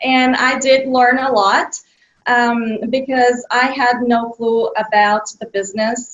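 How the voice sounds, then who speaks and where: Speaking very slowly with a Bulgarian accent, a woman uses a high pitch and fairly even intonation. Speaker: children's author. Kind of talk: interview. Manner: hesitant with many fillers.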